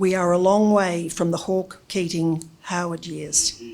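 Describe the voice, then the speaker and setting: A woman with an Australian accent, fairly low pitch and fairly even intonation at a fairly slow pace. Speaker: former politician and business consultant. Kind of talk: speech to an audience. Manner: formal.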